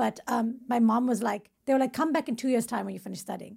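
A woman with vocal fry talks at a fairly quick pace with fairly even intonation. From India and South Africa. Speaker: comedian guest. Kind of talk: casual chat.

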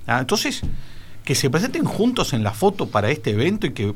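With a somewhat breathy voice, a man gets through his words at a fairly quick pace. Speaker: political panelist, lawyer. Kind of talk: radio panel discussion. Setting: radio studio.

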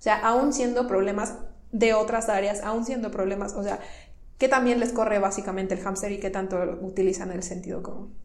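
Audible room echo carries a woman's medium-pitched voice at a fairly quick pace with fairly even intonation. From northern Mexico (Tamaulipas, Monterrey). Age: 20s. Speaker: coworking manager and entrepreneurship promoter. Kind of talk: interview.

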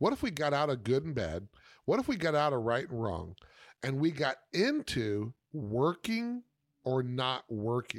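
Medium-pitched man, very wide pitch swings, fairly slow pace, very clean recording with a silent background. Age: 50s. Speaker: podcast host and life coach. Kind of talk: solo podcast monologue. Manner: halting, many false starts and fillers.

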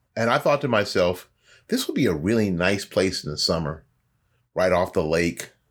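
A man with a Florida accent talks at a moderate pace. The recording is very clean with a silent background. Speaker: podcast host. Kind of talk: solo monologue commentary.

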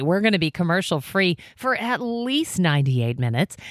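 A woman's fairly low voice with a warm, upbeat tone and very wide pitch swings. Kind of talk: radio DJ patter, morning-show banter with traffic report and station promos. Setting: radio studio. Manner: chatty, warm, quick-talking, upbeat, finishing co-host's sentences.

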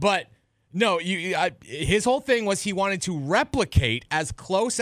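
A man speaks in an animated tone at a moderate pace. His intonation is lively, and the recording is very clean with a silent background. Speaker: sports radio co-host. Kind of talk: casual sports talk. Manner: sarcastic, animated.

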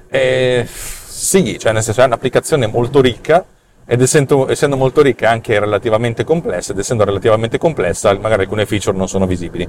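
A man rushes along at a very fast pace, his medium pitch showing ordinary pitch variation. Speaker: podcast host and developer. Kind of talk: angry rant. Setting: video recording on the way to the office. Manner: animated, sarcastic; swearing, irritated, blunt.

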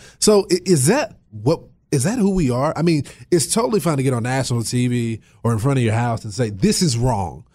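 Somewhat breathy and dark, mellow in tone, a man at medium pitch talks at a fairly quick pace with very wide pitch swings. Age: 20s. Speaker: radio host. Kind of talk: political talk radio discussion.

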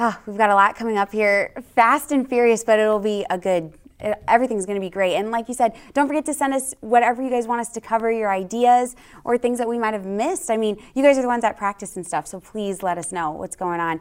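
Speaking at a very fast pace, a woman sounds enthusiastic, her fairly high pitch showing ordinary variation. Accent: American. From US West Coast, San Francisco Bay Area. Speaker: co-host, sports reporter. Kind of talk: casual chat.

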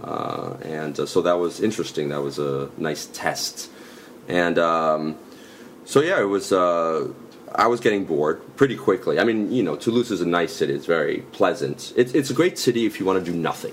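A man speaks with a New York accent and a very deep, low pitch. His intonation is lively. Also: moderate pace. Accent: New York area American English. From US Northeast, New York suburbs (Westchester). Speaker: comedian. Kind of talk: casual chat. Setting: in person. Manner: halting.

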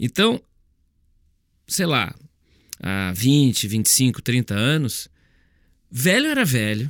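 With very wide pitch swings, the voice comes through dry and close with no echo, in a very clean recording with a silent background. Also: man. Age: 50s. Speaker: speaker and author. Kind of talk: monologue podcast.

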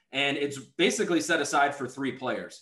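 A man with an ordinary speaking voice, fairly high in pitch, speaks at a moderate pace with ordinary pitch variation. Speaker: podcast host. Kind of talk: casual chat.

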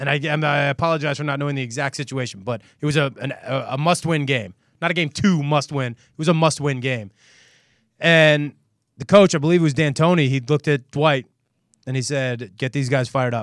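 A man with a plain, everyday voice talks at a fairly quick pace in a fairly high pitch with ordinary pitch variation on a very clean recording with a silent background. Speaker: sports podcast host. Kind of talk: casual sports talk show chat.

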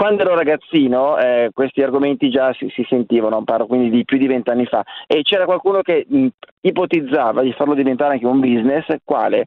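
Here is a normal speaking voice with ordinary pitch variation at a fairly quick pace. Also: man, fairly high pitch for a man. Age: 50s. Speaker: caller. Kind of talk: phone-in call.

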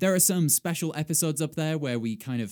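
Recorded very cleanly against a silent background, with a dry, close sound and no echo, a man with a dark, mellow tone talks fairly quickly with lively intonation. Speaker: podcast host. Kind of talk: casual chat.

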